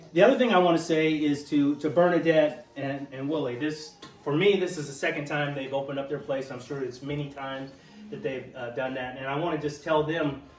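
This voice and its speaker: Against noticeable background noise and audible room echo, a man with a fairly high pitch speaks with fairly even intonation. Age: 60s. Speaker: speaker at veterans networking event. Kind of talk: informal speech to a gathering. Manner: hesitant, frequent fillers and repetitions.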